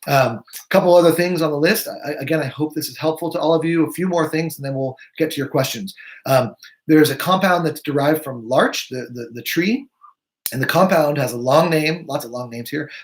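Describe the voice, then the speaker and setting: Talking at a fairly quick pace, a man with a fairly high pitch shows ordinary pitch variation and big swings in loudness. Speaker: naturopathic physician. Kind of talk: live webinar presentation. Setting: live video stream. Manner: fast.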